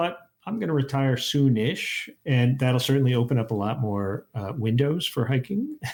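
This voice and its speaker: The man's voice sits at medium pitch and is somewhat breathy. He keeps a moderate pace with lively intonation. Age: 60s. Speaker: historian, professor and hiking podcast host. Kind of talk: casual interview chat. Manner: halting, many fillers and restarts.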